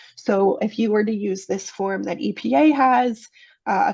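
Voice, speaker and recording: A woman's voice with vocal fry and ordinary pitch variation over a quiet background. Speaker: technical assistance provider presenting to water utilities. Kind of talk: webinar presentation.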